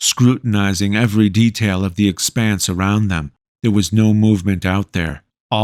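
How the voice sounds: Against a quiet background, a natural reading voice moves with fairly even intonation.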